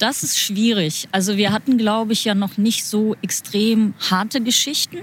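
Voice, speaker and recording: Background noise is noticeable as a woman speaks at a fairly slow pace. Her loudness stays very even and her intonation fairly even. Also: fairly high pitch for a woman. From Germany. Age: 30s. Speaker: interpreter. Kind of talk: casual interview.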